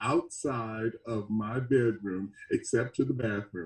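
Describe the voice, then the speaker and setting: A man with an American accent speaks at a very slow pace. His voice is somewhat breathy, with a dark, mellow tone. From US South, Mississippi. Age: 70s. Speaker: experimental band musician. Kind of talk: interview. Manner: halting.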